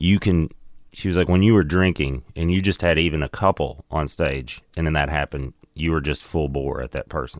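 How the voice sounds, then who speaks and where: A Southern US accent with vocal fry and ordinary pitch variation at a moderate pace, dry and close with no echo, in a very clean recording with a silent background. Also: man, very deep, low pitch for a man. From US South. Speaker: comedian. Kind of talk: casual chat.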